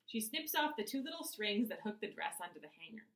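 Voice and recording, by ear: A passage is being read aloud. The speaker uses a natural voice.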